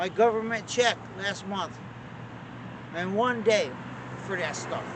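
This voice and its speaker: With an American accent, a man speaks high in pitch at a fairly slow pace with ordinary pitch variation, amid noticeable background noise and audible room echo. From Connecticut, Torrington. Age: 60s. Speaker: person struggling with addiction. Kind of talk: interview.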